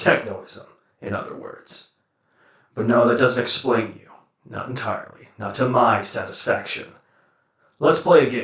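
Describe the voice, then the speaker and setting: A man puts on a character voice at a medium pitch. He talks at a moderate pace with a slight echo around him. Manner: measured, earnest.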